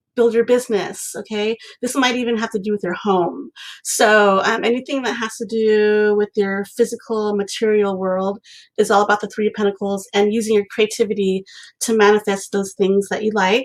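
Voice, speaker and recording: A woman speaks at a fairly high pitch. Her intonation stays monotone and flat. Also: moderate pace. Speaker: creativity coach and tarot reader. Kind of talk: live painting tutorial with tarot reading. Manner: hesitant, many ums.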